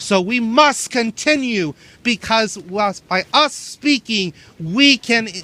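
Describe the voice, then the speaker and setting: A high-pitched man's raised, projected voice with a Spanish accent, a bright, sharp tone and a dry, close sound with no echo. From Venezuela, Valencia. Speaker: protester. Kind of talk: protest speech. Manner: impassioned.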